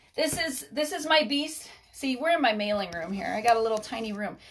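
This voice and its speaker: A woman talks in an animated tone at a moderate pace. Her intonation is lively. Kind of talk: live stream tutorial. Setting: home mailing room.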